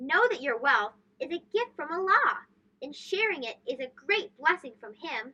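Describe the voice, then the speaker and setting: A woman's put-on character voice, high in pitch, with very wide pitch swings and big swings in loudness. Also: moderate pace. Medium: read story. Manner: regal, proclaiming.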